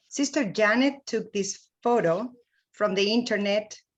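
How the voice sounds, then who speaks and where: A woman with a Spanish accent at a very slow pace, with ordinary pitch variation. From Mexico, Veracruz. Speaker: mission trip volunteer. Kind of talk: slide presentation.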